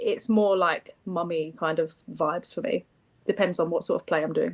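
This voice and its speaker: A woman with a London accent speaks at a moderate pace. Her loudness swings widely. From East London. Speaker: contest contestant. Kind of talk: interview.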